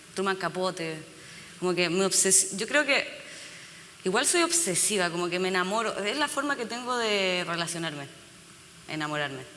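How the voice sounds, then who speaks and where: Moderate pace with long, frequent pauses, against noticeable background noise. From Chile. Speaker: novelist. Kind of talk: panel conversation.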